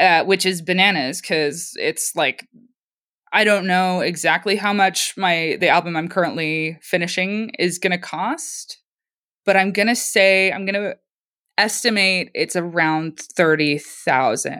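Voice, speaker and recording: On a very clean recording with a silent background, a woman with a Canadian accent uses a normal speaking voice at medium pitch, ordinary pitch variation and a fairly slow pace. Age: 20s. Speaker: musician. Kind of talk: casual chat.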